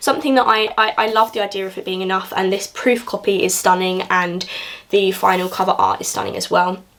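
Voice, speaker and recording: Over noticeable background noise, a woman in a southern English accent talks at a fairly quick pace, her medium pitch following a fairly even intonation. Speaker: book YouTuber. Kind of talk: casual vlog book review. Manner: fast.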